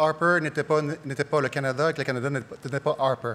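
A man speaks at a moderate pace. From Quebec. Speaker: politician, leadership candidate; politician, candidate. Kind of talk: political debate. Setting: stage with audience. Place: stage. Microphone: podium.

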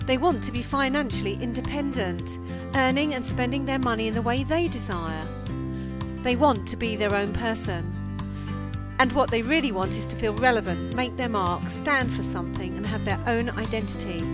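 Music plays in the background as a woman speaks at a moderate pace. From UK. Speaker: business coach. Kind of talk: motivational marketing talk to camera.

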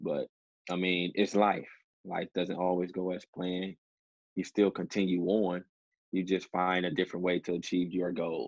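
In an American accent, a man with a very deep, low pitch speaks at a moderate pace in a monotone, flat intonation, pausing long and often against a quiet background. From Detroit, US Midwest. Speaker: professional basketball player; interview guest. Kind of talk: interview. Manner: hesitant with many fillers. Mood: relaxed, reflective. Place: home room. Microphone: video call.

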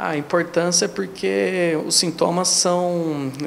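A man's voice with fairly even intonation over light background noise. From Brazil, São Paulo state interior. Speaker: gynecologist. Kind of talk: interview. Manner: halting, frequent fillers. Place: office. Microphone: handheld.

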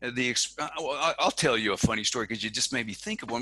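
Lively intonation in a bright, sharp tone, with a dry sound and no echo. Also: man. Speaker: podcast host; podcast guest. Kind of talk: interview. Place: office. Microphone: headset.

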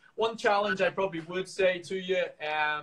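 The pace here is moderate. It is a man's voice. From Northern Ireland. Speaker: professional marathon runner. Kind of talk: workout tutorial; live stream Q&A. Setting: live video stream from home. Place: home room. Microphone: video call.

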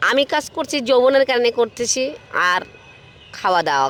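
Over noticeable background noise, a woman talks in a high voice. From northern Bangladesh, Saidpur. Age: 20s. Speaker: interviewee. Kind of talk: street interview.

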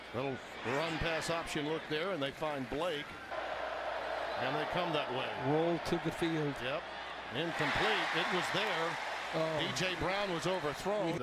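The speech goes at a fairly slow pace with long, frequent pauses. The sound is dry with no echo, under loud background noise. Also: man. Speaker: play-by-play announcer. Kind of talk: commentary. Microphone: headset.

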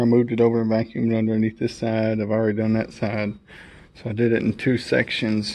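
In a dark, mellow tone, a man speaks at a moderate pace. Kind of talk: casual vlog chat. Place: classroom.

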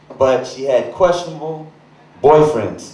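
A man talks at a fairly slow pace with ordinary pitch variation, and audible room echo surrounds his voice. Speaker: stand-up comedian. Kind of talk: stand-up comedy routine. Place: stage.

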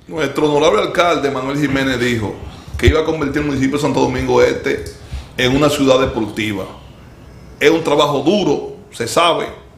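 A man speaks at a moderate pace, with audible room echo and light background noise in the recording. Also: long, frequent pauses. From Dominican Republic. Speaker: sports show host. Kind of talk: casual chat. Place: studio.

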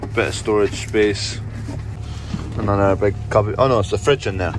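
Against noticeable background noise, a man speaks at a moderate pace in a fairly low voice, the sound dry with no echo. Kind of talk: casual vlog chat, cab tour. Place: farm machine. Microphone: phone near.

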